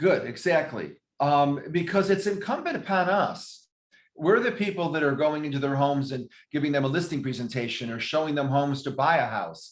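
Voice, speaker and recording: Fairly quick in pace, a man talks in a normal speaking voice with a fairly high pitch and ordinary pitch variation. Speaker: real estate regional manager. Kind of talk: training class. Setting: video call.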